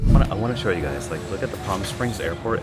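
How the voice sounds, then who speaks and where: A man's voice over music in the background. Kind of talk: casual talk to camera, reflective vlog narration. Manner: soft-spoken, reflective.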